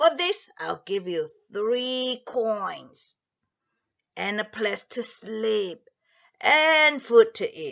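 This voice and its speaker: A woman uses a put-on character voice pitched fairly high. She talks at a very slow pace, with long, frequent pauses. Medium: read story. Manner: firm, instructive.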